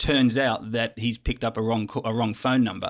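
With an Australian accent, a man talks at a fairly quick pace and medium pitch, his intonation fairly even, on a very clean recording with a silent background. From Sydney, Australia. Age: old. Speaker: film festival program director. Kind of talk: casual chat. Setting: studio.

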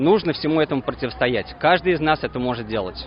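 A man speaks fairly quickly at a fairly high pitch, with a plain, everyday voice. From Russia. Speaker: protest organiser. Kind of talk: speech at rally. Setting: outdoors.

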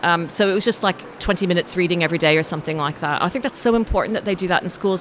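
Over noticeable background noise, a woman speaks at a very fast pace in a fairly low pitch. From Canada. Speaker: novelist. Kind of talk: interview. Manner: hesitant, many fillers.

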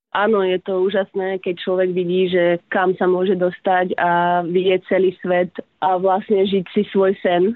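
A woman talks at a fairly slow pace in a medium pitch, her intonation monotone and flat and her loudness very even. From Slovakia, Prievidza. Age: 30s. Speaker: professional tennis player. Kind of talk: interview.

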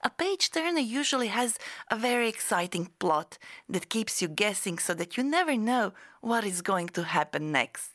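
On a very clean recording with a silent background, a woman speaks at a fairly high pitch with very wide pitch swings and very even loudness. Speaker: podcast host and English teacher. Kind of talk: scripted educational podcast. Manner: clear, slow, teaching-style.

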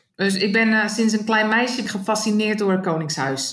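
Room echo is audible as a woman speaks at a moderate pace. Her pitch is medium and her intonation fairly even. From Netherlands, South Holland (Rijnsburg). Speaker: Dutch emigrant interviewee. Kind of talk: interview.

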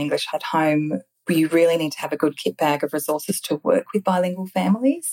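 Delivered at a fairly quick pace with ordinary pitch variation, an unremarkable speaking voice comes through with a dry, close sound and no echo. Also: woman. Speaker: speech pathologist. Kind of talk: interview.

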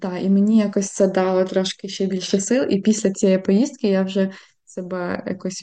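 A woman speaks at a fairly slow pace against a quiet background, her medium-pitched voice dark and mellow in tone. Her intonation stays fairly even. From Ukraine, Khmelnytskyi. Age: 30s. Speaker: concert pianist. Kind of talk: interview.

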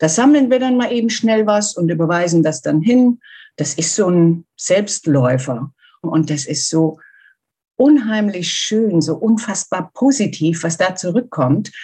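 A woman's somewhat breathy, dark, mellow voice at medium pitch, with very wide pitch swings and a fairly slow pace. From Germany. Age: 50s. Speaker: volunteer seamstress for wildlife charity. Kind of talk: interview.

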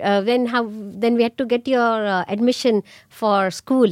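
Speaking in an Indian accent, a high-pitched woman comes through in a dry, close sound with no echo. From India (Pune, near Mumbai). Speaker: immigrant parent. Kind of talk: casual family conversation. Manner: laughs often.

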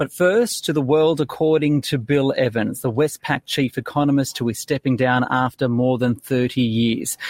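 A man's normal speaking voice, a normal speaking voice at medium pitch, with ordinary pitch variation, very even loudness and a moderate pace. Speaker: finance news podcast host. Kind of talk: news interview. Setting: studio.

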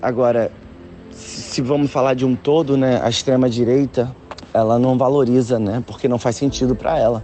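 A man's medium-pitched voice over music in the background. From Brazil, Nilópolis, Baixada Fluminense. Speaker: photographer. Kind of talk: interview. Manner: halting, repetitions.

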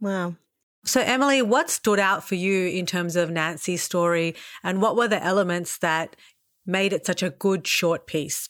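A woman speaks at a medium pitch with an Australian accent. The recording is very clean, with a silent background. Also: ordinary pitch variation, moderate pace. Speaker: podcast host and writer. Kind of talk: interview.

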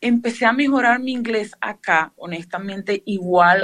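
Using ordinary pitch variation, a woman speaks with a Venezuelan accent. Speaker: museum tour guide. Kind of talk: interview.

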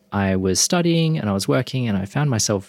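Intonation rises and falls in a lively way. This voice speaks with an Australian accent. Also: man. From Perth, Western Australia. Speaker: meditation teacher. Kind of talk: interview.

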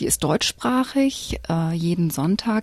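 A woman speaks with a dark, mellow tone, somewhat breathy and fairly low in pitch, with very wide pitch swings. The sound is dry and close with no echo. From Cologne, Germany. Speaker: church community educator. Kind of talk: radio interview. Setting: studio. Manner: hesitant with filler sounds.

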